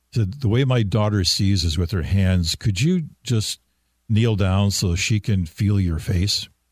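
Relaxed in tone and somewhat breathy, a man's fairly low voice keeps a very even loudness and ordinary pitch variation in a very clean recording with a silent background. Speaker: veteran radio personality. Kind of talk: casual interview, reminiscing. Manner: relaxed, storytelling.

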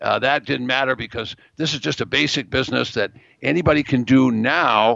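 Vocal fry marks the speech of a man at medium pitch with ordinary pitch variation. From New England. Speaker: real estate investment educator. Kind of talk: interview.

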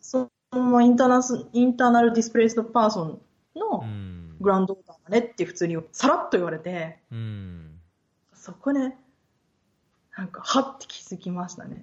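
Speaking at a moderate pace in a plain, everyday voice, a woman with fairly high pitch uses lively intonation and big swings in loudness. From Japan, Yokohama; moved often, high school in Osaka. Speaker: podcast guest, researcher/interviewer. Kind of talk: casual interview chat.

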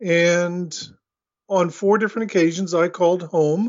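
An American-accented man speaks in a high pitch with monotone, flat intonation. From Oklahoma City, US. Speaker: spiritual teacher and channeler. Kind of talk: interview.

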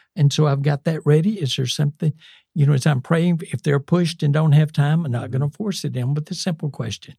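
Somewhat breathy and fairly quick, a man's fairly high voice with a dark, mellow tone and a dry, close sound with no echo. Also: ordinary pitch variation. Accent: Southern US. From US South, South Carolina. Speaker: retired missionary. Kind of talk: interview testimony.

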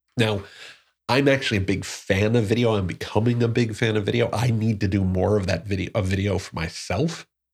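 On a very clean recording with a silent background, a man speaks at a moderate pace in a fairly low, somewhat breathy voice with ordinary pitch variation. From Newark, New Jersey. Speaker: podcast host. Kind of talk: solo podcast monologue.

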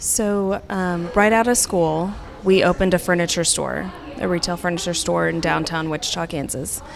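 A woman with an American accent, fairly low pitch, fairly even intonation and moderate pace, over noticeable background noise. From Oklahoma, Tulsa. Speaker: interior designer. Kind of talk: casual interview. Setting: public park, outdoors.

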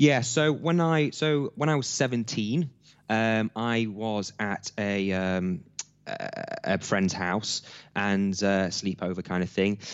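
Speaking with an East Midlands accent, a man uses lively intonation and a fairly low pitch at a very slow pace. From Nottingham, England (Hucknall). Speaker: entrepreneur and business coach. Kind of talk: interview.

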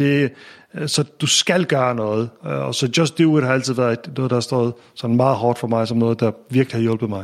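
A man talks at a moderate pace. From Faroe Islands. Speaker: tech entrepreneur and investor. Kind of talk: interview conversation. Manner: halting, many repetitions.

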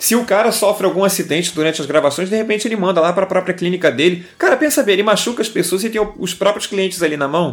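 Amid noticeable background noise, a high-pitched man talks very fast with hardly any pauses and ordinary pitch variation. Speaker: podcast co-host. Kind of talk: casual chat.

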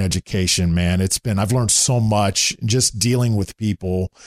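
In an ordinary speaking voice with a fairly low pitch and ordinary pitch variation, a man talks at a moderate pace on a very clean recording with a silent background and a dry, close sound with no echo. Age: 40s. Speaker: sports play-by-play broadcaster. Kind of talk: casual interview. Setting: in his home condo.

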